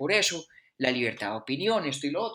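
A man speaks with very wide pitch swings. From Colombia (Bogotá / Caldas). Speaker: philosophy podcast co-host. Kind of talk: casual chat.

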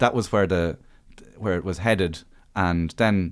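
A man speaks with an Irish accent, his pitch very deep and low with ordinary variation. The recording is very clean, with a silent background. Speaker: stand-up comedian and author. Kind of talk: casual chat.

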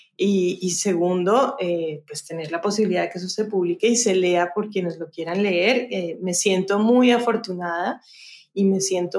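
Speaking fairly slowly in a normal speaking voice, a woman keeps a medium pitch and fairly even intonation. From Colombia, Cali. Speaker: novelist and journalist. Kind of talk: interview.

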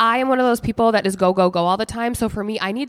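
A woman's plain, everyday voice, fairly high in pitch with ordinary pitch variation. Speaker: podcast co-host. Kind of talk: casual chat. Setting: office.

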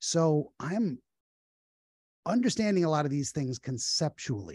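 A man speaks at a moderate pace in a dark, mellow tone that is somewhat breathy. The sound is dry and close, with no echo. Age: 40s. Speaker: dream analyst. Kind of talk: casual chat.

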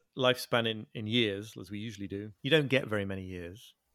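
A man with a northern English accent speaks at a fairly quick pace. The recording is very clean with a silent background and a dry, close sound with no echo. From northern England. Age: 40s. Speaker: author and journalist. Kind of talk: interview. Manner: halting.

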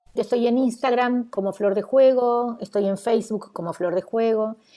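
Speaking in an Argentine accent at a moderate pace, a woman has a fairly high pitch. Her tone is dark and mellow, her intonation fairly even. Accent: Argentine Spanish (voseo). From Argentina. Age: 60s. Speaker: educator. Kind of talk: interview conversation. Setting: video call.

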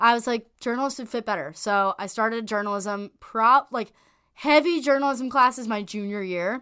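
A woman with an American accent, fairly high in pitch and bright, sharp in tone, on a very clean recording with a silent background. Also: ordinary pitch variation, moderate pace. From US Northeast, North Jersey. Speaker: college lacrosse player and journalism student. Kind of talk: casual interview chat.

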